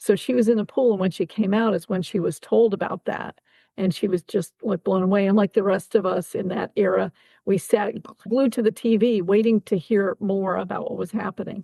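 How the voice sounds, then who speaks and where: Speaking in a plain, everyday voice, a woman moves at a fairly quick pace with medium pitch and fairly even intonation. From Ohio. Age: 60s. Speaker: army veteran. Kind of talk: interview.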